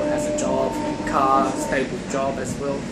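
A man speaks at a fairly slow pace against loud background noise. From China. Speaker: vlogger giving relationship advice. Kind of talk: casual talk to camera. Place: train. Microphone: phone near.

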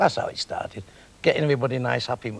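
A man with a Manchester accent is heard in a dry sound with no echo over light background noise. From Manchester, England. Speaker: comedian and club owner. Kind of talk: interview answer. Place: studio. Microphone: lapel.

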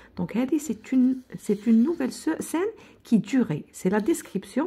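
A woman in an Algerian accent, fairly high pitched with very wide pitch swings, a dark, mellow tone, a fairly slow pace and long, frequent pauses. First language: Algerian Arabic (speaking French). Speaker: teacher. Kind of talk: lecture; tutorial. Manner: code-switching Arabic and French; halting, repetitive. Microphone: phone near.

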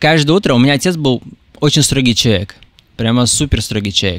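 The man's pitch is medium, and it varies in an ordinary way. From Russia. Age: 20s. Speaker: TikTok creator. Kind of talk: interview.

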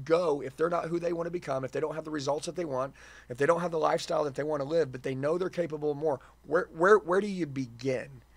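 With fairly even intonation, a man speaks at a very fast pace. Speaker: podcast host. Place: studio. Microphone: studio mic.

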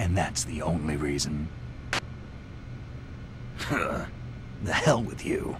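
A man's put-on character voice, extremely low in pitch, slow in pace, with lively intonation.

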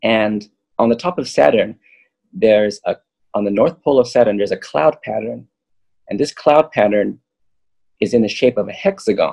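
A man speaks with long, frequent pauses. The background is quiet. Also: moderate pace. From Southern California. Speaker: yogi and spiritual map creator; guest, map creator. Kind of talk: casual chat. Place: home room. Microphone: webcam.

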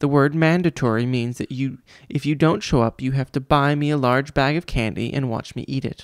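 The delivery is plain reading aloud. The text is simply read out.

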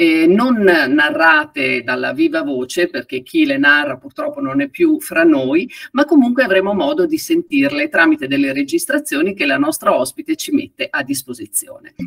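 Recorded dry with no echo against a quiet background, a woman speaks at a moderate pace. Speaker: event host introducing a guest. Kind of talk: event host introduction. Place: home room.

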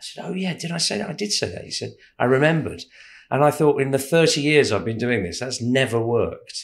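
Lively in intonation, a man speaks at a fairly quick pace with vocal fry. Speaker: stage actor. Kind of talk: interview.

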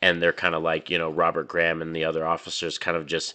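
A man speaks with an American accent against a quiet background. His very deep, low pitch has a bright, sharp tone. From New Mexico, US. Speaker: movie reviewer YouTuber. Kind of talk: casual video review. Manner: animated. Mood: enthusiastic. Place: home room. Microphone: studio mic.

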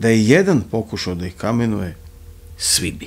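A man's dramatic tone at a medium pitch. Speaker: audiobook narrator. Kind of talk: literary audiobook reading of a crime novel, ASMR-style bedtime storytelling. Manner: soft, hushed ASMR narration; slow, measured, dramatic literary delivery. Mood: dark, ominous storytelling. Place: studio. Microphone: studio mic.

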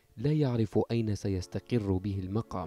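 Music plays behind a man speaking at a fairly slow pace, his pitch fairly low with ordinary variation. The sound is dry and close, with no echo. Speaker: journalist. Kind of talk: TV news report voice-over.

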